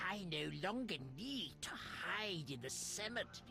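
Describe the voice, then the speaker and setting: A put-on character voice at a middle pitch and moderate pace, over loud background noise. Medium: video game.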